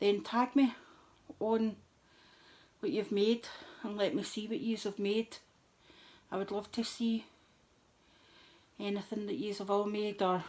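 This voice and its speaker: A woman speaks quietly in a relaxed tone, fairly high-pitched, with fairly even intonation, a fairly slow pace and long, frequent pauses. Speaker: crafting vlogger. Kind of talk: craft tutorial chat. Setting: at home, middle of the night.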